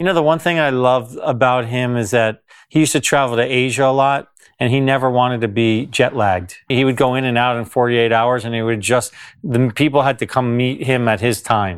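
A man with a New Jersey accent, medium pitch and ordinary pitch variation at a fairly quick pace, on a very clean recording with a silent background. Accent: American, New Jersey. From US, New Jersey. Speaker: tennis agent. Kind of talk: interview. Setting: on location at a tennis club.

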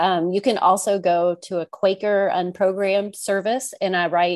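A woman with an American accent speaks at a medium pitch and a moderate pace. Her intonation is fairly even, and the sound is dry and close with no echo. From US Midwest, rural Missouri. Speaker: author. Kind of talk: interview conversation. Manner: halting, many fillers.

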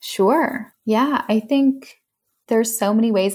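A woman with an American accent speaks at a fairly slow pace on a very clean recording with a silent background. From US West Coast (San Francisco Bay Area). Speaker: tarot reader and event founder. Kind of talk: casual interview. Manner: animated.

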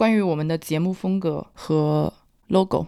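In a very clean recording with a silent background, a woman talks at a fairly low pitch with ordinary pitch variation. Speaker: podcast host, marketing professional. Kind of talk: casual chat.

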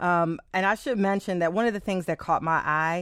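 Fairly low pitch from a woman, a normal speaking voice at a moderate pace over a quiet background. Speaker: public radio host. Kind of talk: radio talk show. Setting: studio.

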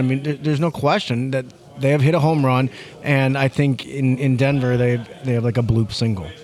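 A man with an American accent talks at a fairly quick pace and medium pitch, his loudness very even and his intonation fairly even. Noticeable background noise runs underneath. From St. Louis, Missouri. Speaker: sports columnist. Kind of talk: casual chat.

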